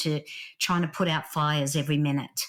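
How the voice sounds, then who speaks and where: This is a very clean recording with a silent background. A woman speaks with a strong Australian accent. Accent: Australian, still strong. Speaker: leadership author and speaker. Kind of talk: podcast interview.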